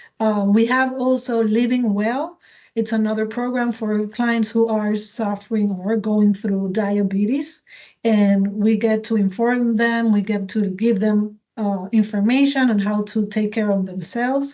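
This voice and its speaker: Fairly high-pitched woman's voice with a dark, mellow tone, fairly slow delivery, fairly even intonation and very even loudness. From Puerto Rico. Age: 40s. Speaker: community organization representative. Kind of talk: informational interview. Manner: halting, with repetitions.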